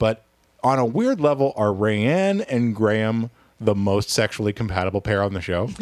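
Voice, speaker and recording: This man has a fairly low pitch with ordinary variation and talks at a moderate pace. It is a plain, everyday voice. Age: 40s. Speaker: podcast host. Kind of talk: casual chat.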